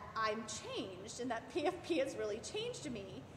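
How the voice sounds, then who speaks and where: A loud woman with an American accent and very wide pitch swings, with audible room echo. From Maryland, US. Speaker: sports parent. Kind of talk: interview.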